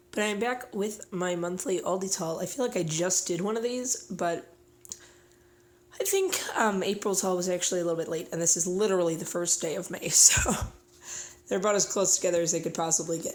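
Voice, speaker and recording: Noticeable background noise sits behind a woman speaking at a fairly quick pace. Her intonation is fairly even. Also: medium pitch for a woman. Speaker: stay-at-home mom vlogger. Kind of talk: casual haul video talk.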